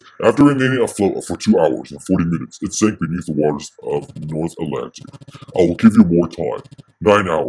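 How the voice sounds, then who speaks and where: This is a put-on character voice from a man, very deep and low in pitch. His intonation is lively. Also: fairly quick pace. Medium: read story. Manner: formal, implacable.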